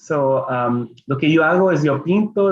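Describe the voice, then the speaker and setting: The man talks at a moderate pace. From Los Angeles, Mexican-American family. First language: Spanish. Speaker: children's book illustrator and artist. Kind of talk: bilingual family reading event presentation. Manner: halting, code-switching English and Spanish.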